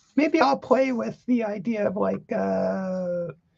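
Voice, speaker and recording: A woman's somewhat breathy voice moves at a very slow pace with very wide pitch swings. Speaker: collage artist. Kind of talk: casual livestream art session. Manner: halting, many fillers.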